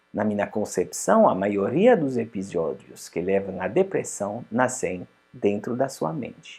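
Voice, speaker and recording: A man with a strong non-native accent, speaking at a fairly slow pace with hardly any pauses. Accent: strong foreign accent in Portuguese. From Switzerland. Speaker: psychologist and life coach. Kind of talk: promotional self-help talk.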